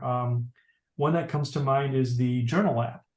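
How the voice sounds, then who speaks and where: Over a quiet background, a man talks in a medium pitch, somewhat breathy, with ordinary pitch variation. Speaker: tech class instructor. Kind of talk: tutorial. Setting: video call.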